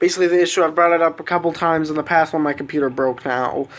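A man's voice with monotone, flat intonation. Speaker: vlogger. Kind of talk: casual vlog chat. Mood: mildly frustrated, explaining. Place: home room.

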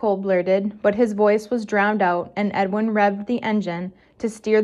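A plain reading-aloud delivery. The intonation stays fairly even.

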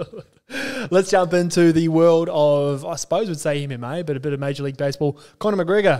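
With an Australian accent, a man speaks at a fairly quick pace with hardly any pauses, his fairly high-pitched voice carrying a dark, mellow tone and lively intonation over a quiet background. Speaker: podcast co-host. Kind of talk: casual chat. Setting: studio. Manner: animated. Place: studio. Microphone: studio mic.

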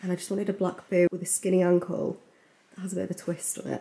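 A woman speaks very fast in a fairly low, dark, mellow voice with vocal fry. Her intonation stays flat and monotone. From England. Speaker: beauty vlogger. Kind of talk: casual vlog. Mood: cheerful, chatty. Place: home room. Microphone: phone near.

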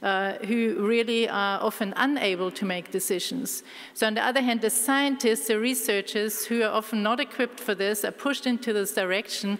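A woman with a normal speaking voice talks at a fairly quick pace with hardly any pauses. Her fairly high pitch and intonation stay fairly even, and her loudness is very even. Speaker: biology professor. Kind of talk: conference talk. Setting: stage with audience. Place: hall.

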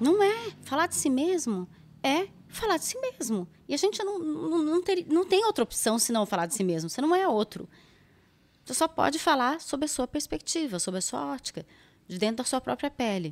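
Moving at a moderate pace, a high-pitched woman makes very wide pitch swings. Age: 50s. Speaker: psychologist and psychoanalyst; psychoanalyst. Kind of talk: interview conversation. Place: studio. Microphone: studio mic.

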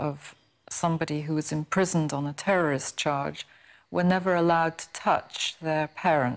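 Speaking fairly slowly, a woman uses a very deep, low pitch and fairly even intonation. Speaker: journalist, former hostage. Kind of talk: interview answer. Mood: calm, reflective, serious. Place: studio.

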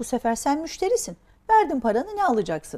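A woman speaks with a dark, mellow tone at a fairly quick pace. Her pitch swings very widely. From Turkey, raised in Diyarbakır and the Aegean; Turkey. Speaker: entrepreneur; guest. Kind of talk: interview. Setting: studio. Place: studio.

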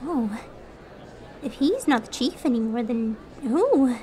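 A female-sounding put-on character voice, high in pitch for a woman, moves at a fairly slow pace over clear background noise. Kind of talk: audio drama performance.

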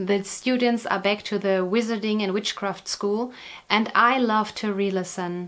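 With ordinary pitch variation, a woman speaks at a fairly slow pace. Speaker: knitting vlogger. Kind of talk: casual vlog chat. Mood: warm, cheerful. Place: home room.

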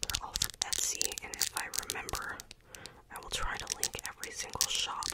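Whispering is heard from a woman. Her pace is fairly quick. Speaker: content creator. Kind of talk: soft-spoken show-and-tell chat. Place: home room. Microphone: studio mic.

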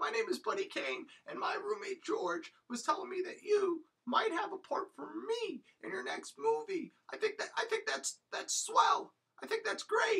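An extremely high-pitched, cartoonish character voice. The pace is moderate. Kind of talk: comic overacting. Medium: puppet show. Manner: eager, salesy, boastful.

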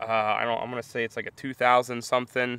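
A man at a fairly quick pace, in a dry sound with no echo. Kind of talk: casual vlog chat. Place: open country. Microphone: phone near.

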